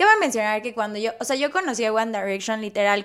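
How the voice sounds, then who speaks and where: This recording is very clean, with a silent background. The woman's voice is fairly high-pitched. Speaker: airline pilot and influencer. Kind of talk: casual chat. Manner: animated.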